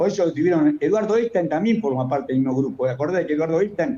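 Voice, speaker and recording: A man speaks at a very fast pace over noticeable background noise. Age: 70s. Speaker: economist. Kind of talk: interview. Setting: remote call. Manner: animated.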